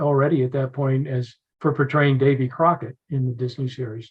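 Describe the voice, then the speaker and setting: With an American accent, a man talks at a moderate pace. His voice is fairly high in pitch and somewhat breathy. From Philadelphia, Pennsylvania. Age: 70s. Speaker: battlefield preservation advocate, retired Air Force officer. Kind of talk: podcast interview.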